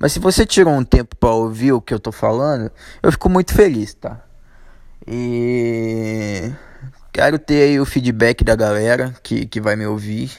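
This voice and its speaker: The speaker is a man with a medium pitch and ordinary pitch variation. He talks at a fairly slow pace. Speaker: podcast host. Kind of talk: casual monologue. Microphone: echo in room.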